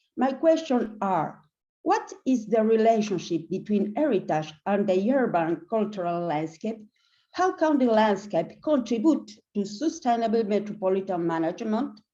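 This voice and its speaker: Against a quiet background, a woman with a fairly high, dark and mellow voice talks at a moderate pace with lively intonation. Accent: Argentine. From Argentina, Buenos Aires. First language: Spanish. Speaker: academic / environmental researcher. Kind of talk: reading prepared notes at online forum. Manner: reading aloud.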